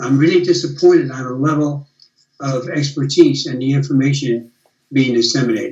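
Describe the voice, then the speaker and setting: This man's American-accented voice is fairly high and somewhat breathy, with fairly even intonation. He talks fairly quickly, and his loudness swings widely. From USA. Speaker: retired biomechanist. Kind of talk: casual chat.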